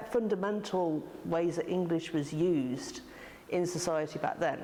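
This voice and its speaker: Her voice has a dark, mellow tone and a fairly low pitch, and the woman shows ordinary pitch variation. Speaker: artist and arts organiser. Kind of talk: interview answer.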